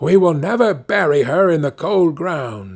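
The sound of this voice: Putting on a character voice, a man talks at a fairly slow pace with a fairly high pitch, a slightly mellow tone, big pitch swings and vocal fry, on a very clean recording with a silent background.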